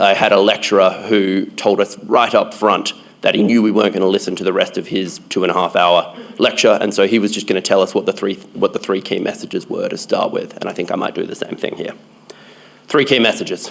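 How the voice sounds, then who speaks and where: Here a man speaks with a strong Australian accent. His pace is fairly quick. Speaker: conference speaker, public health researcher. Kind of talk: conference talk. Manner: hesitant fillers.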